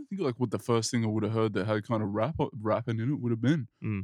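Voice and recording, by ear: Recorded with a dry, close sound and no echo, a man with an Australian accent speaks at a fairly quick pace and medium pitch with ordinary pitch variation.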